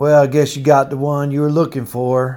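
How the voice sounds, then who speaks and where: A man drawls in a put-on character voice with a Georgia accent, pitched fairly high. His intonation is monotone and flat, and his pace is moderate. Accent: Georgia Southern. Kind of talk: casual, folksy. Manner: thick, drawling.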